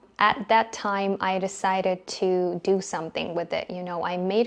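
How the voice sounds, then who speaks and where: With a non-native accent, a woman speaks at a medium pitch and a fairly slow pace over a quiet background. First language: not English. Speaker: English teacher. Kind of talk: casual chat.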